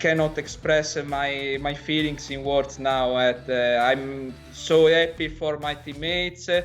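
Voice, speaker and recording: A man with an Italian accent, fairly high in pitch, at a fairly slow pace with fairly even intonation, music in the background. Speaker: esports player. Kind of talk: interview. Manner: halting.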